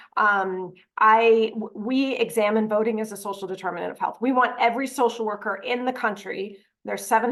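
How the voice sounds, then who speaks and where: A woman speaks in a normal speaking voice, fairly high in pitch, at a fairly quick pace with fairly even intonation. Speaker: presenter at a voter training. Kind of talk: training presentation.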